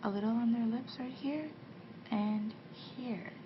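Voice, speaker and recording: A soft-spoken woman with a gentle tone and fairly high pitch talks very slowly with fairly even intonation, over noticeable background noise. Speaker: ASMR artist playing a makeup artist. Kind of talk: ASMR roleplay, soft-spoken talk to the listener. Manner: soft-spoken, gentle.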